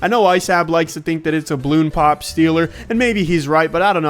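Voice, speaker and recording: A man speaks in a high-pitched voice. Music can be heard in the background. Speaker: gaming YouTuber. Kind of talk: gameplay commentary. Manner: fast; animated.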